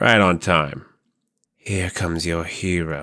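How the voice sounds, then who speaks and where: A man puts on a character voice, raspy and very deep in pitch, at a fairly slow pace. The recording is very clean, with a silent background. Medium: read story.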